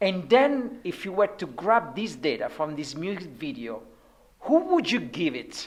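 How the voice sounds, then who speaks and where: A woman with a non-native accent speaks at a fairly slow pace, her pitch swinging very widely. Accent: non-native accent, noticeable. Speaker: interviewer at an advertising awards show. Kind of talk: casual interview. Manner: many fillers, hesitant.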